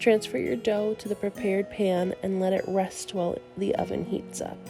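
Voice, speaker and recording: Music plays in the background as a woman speaks. Her pace is moderate. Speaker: tavern-themed cooking host. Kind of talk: recipe voiceover instructions.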